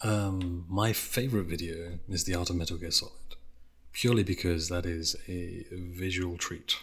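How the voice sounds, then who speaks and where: A man's very deep, low voice, somewhat breathy, with fairly even intonation at a moderate pace. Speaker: YouTuber video essayist. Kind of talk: casual chat interview. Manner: stutter, pronounced speaking style.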